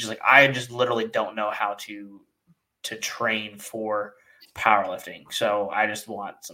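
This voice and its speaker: The tone is bright and sharp, the intonation monotone and flat, the loudness swings widely, and the pace is moderate. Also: man, medium pitch for a man. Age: 30s. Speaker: podcast host and strength coach. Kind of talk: casual interview chat.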